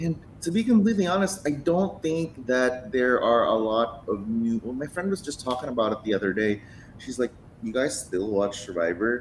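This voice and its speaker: A man speaks with a Filipino accent, his pitch swinging very widely. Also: medium pitch for a man, moderate pace. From Philippines. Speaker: podcast co-host. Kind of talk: casual chat.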